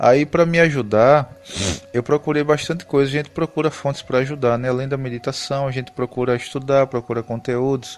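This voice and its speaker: Music plays behind a man speaking at a fairly quick pace in a Pernambuco accent. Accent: Pernambuco (northeastern Brazilian). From Brazil, Pernambuco. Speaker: spiritual YouTuber. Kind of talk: casual spiritual talk to camera. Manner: conversational, with hesitations.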